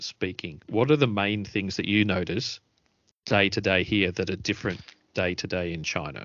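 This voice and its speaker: The accent is Australian. Words come out at a fairly quick pace. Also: man. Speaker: podcast host. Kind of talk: casual chat.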